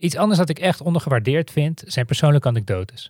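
A somewhat breathy man with lively intonation. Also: dry, close sound with no echo, very clean recording, silent background. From Netherlands. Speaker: podcast host. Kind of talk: scripted monologue.

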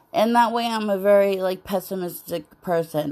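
A woman's medium-pitched voice at a fairly slow pace, with ordinary pitch variation, in a very clean recording with a silent background. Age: 40s. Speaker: podcaster. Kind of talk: personal monologue. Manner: halting, many fillers.

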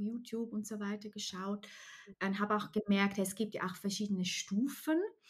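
The tone is bright and sharp. A woman delivers it at a moderate pace. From Switzerland, Alpine countryside. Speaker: nutrition coach and former primary teacher. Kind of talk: interview about personal illness story.

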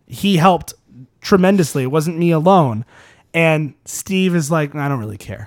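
With lively intonation and a moderate tempo, this is a normal speaking voice. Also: man, fairly high pitch for a man, very clean recording, silent background. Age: 20s. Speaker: podcast host. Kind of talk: casual chat.

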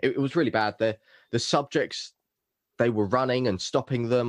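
With an unremarkable speaking voice, a man talks at a fairly quick pace and with fairly even intonation, the sound dry and close with no echo. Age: 20s. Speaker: mentalist and business coach. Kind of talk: casual chat.

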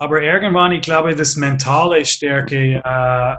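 Talking at a fairly slow pace with an English accent, a man uses a fairly high-pitched voice with a bright, sharp tone. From Canada. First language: English (speaking German). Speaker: former ice hockey player and coach. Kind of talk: interview. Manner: halting, many fillers.

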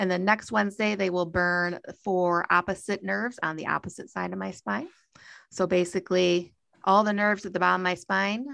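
A woman with an American accent speaks at a moderate pace against a quiet background. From US Midwest (Michigan). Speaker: podcast host. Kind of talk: casual chat.

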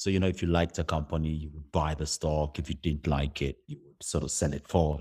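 On a very clean recording with a silent background, a man with a very deep, low pitch speaks at a fairly quick pace in a monotone, flat intonation, somewhat breathy, with big swings in loudness and hardly any pauses. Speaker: startup founder and CEO. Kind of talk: interview.

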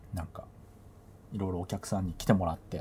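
A man with a relaxed tone and a dark, mellow voice. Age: middle-aged. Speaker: podcast host and DJ. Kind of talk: casual solo talk. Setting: bedroom home recording. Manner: relaxed, filler-heavy.

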